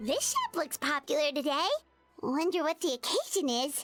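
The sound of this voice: In a put-on character voice, a woman speaks at a high pitch with lively intonation and a moderate pace, the sound dry and close with no echo, as faint music plays in the background.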